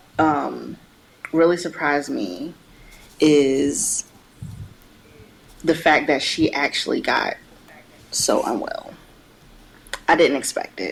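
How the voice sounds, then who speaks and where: Long, frequent pauses break up the very slow speech. Background noise is noticeable throughout. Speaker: podcast co-host. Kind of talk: casual chat. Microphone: poor sound quality.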